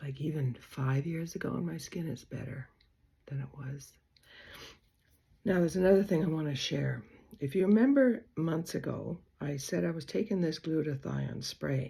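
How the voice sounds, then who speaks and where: Very deep, low-pitched female voice with vocal fry, lively intonation, and long, frequent pauses. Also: moderate pace. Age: 80s+. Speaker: beauty vlogger. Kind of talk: casual vlog tutorial. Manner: chatty, rambling with fillers.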